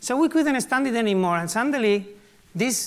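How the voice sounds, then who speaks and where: The speaker is a man. He talks with a Spanish accent. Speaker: artist and activist. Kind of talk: conference talk. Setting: live stage, large hall. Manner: casual, humorous.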